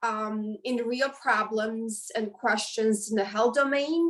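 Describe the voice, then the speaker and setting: Talking at a very slow pace with ordinary pitch variation, the speaker has a Romanian accent. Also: woman. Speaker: professor. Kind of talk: interview. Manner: halting.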